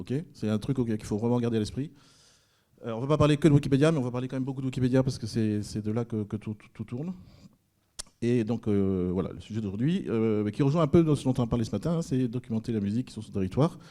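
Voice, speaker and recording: Speaking at a very fast pace, a man with a dark, mellow tone shows ordinary pitch variation and big swings in loudness. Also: medium pitch for a man. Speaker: librarian workshop leader. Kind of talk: workshop presentation. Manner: hesitant, many fillers.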